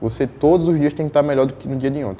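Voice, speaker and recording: A man with a strong northeastern Brazilian accent and fairly even intonation. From Northeast Brazil. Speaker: fashion model. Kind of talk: interview.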